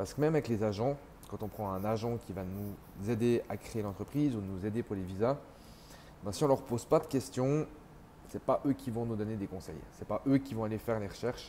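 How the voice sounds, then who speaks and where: A man talks at a fairly quick pace and medium pitch, using a plain, everyday voice with ordinary pitch variation. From Switzerland (French-speaking). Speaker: entrepreneur sharing expat experience. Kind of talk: casual vlog monologue.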